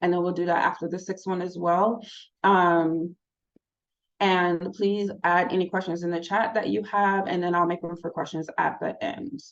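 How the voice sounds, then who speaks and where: Here is a woman with a plain, everyday voice, speaking at a moderate pace with a fairly low pitch and fairly even intonation. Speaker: smoking cessation counseling trainer. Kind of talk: online training session.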